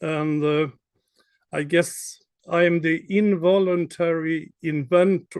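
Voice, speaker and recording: At a very slow pace, a man speaks with a Swedish accent. His voice is high in pitch, and his intonation stays fairly even. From Sweden. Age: 60s. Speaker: startup founder. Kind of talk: panel discussion.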